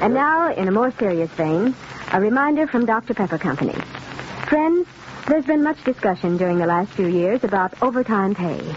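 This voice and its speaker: The sound is dry, with no echo and light background noise. A woman talks at a moderate pace. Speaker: radio announcer. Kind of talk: radio advertisement announcement. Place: studio. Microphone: old recording.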